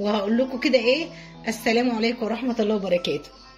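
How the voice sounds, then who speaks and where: A woman's fairly high voice moving at a fairly quick pace, with music in the background. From Egypt, Monufia. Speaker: cooking channel host. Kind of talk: cooking tutorial. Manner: animated.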